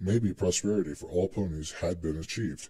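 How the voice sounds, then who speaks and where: Somewhat breathy, a man with a very deep, low voice speaks at a fairly quick pace. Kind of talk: dramatic reading of fan fiction.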